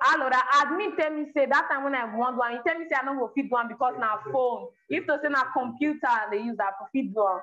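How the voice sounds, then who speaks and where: Over light background noise, a woman in a raised, projected voice speaks at a very fast pace and high pitch, with ordinary pitch variation. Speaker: language teacher. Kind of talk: live online lesson. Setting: video call. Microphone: phone near.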